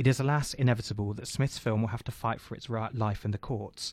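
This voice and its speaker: In a British accent, a man speaks very fast with a somewhat breathy voice and fairly even intonation, on a very clean recording with a silent background. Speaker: radio host. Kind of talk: arts discussion. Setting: studio.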